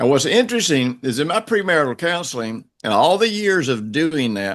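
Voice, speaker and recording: The man's pitch is fairly high and swings very widely. He keeps a moderate pace. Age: 70s. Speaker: minister and relationship counselor. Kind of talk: interview. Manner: halting.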